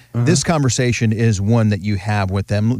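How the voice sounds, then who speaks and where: Speaking fairly quickly in a normal speaking voice, a man keeps a fairly low pitch with ordinary pitch variation. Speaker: radio host. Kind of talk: radio show host patter, bright chatty banter with a guest, plus promo-style announcements. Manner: upbeat, friendly, polished radio-announcer delivery.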